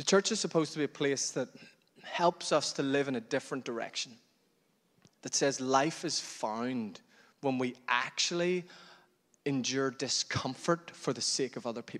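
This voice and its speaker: A man's fairly high voice with a Northern Irish accent, at a moderate pace with long, frequent pauses, on a very clean recording with a silent background. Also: ordinary pitch variation. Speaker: pastor. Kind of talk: sermon.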